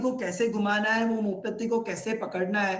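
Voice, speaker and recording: Audible room echo surrounds a man speaking at a high pitch with a Gujarati accent. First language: Gujarati (speaking Hindi). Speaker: religious teacher trainer. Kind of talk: online training session. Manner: code-switching Hindi, English and Gujarati.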